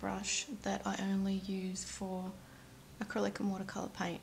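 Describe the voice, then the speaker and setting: Somewhat breathy, a woman with an Australian accent speaks at a medium pitch. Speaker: nail art YouTuber. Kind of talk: tutorial.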